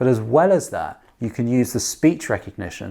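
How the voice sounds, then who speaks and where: On a very clean recording with a silent background, a man speaks in a normal speaking voice at medium pitch, at a fairly quick pace, with lively intonation. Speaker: app co-founder demonstrating language app. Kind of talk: tutorial.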